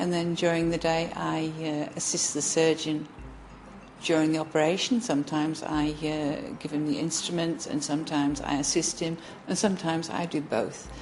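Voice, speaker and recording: A woman with an English accent speaks in a very deep, low voice at a moderate pace, with ordinary pitch variation. Audible room echo and noticeable background noise fill the recording. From England. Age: 50s. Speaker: theatre nurse. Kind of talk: interview testimony. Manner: halting, with many fillers and repetitions.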